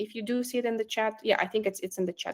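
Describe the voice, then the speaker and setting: This woman speaks. She has a non-native accent. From immigrant to Canada. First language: not English. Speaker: recruiter and career coach. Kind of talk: online workshop presentation. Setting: online workshop with chat. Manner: hesitant, many fillers.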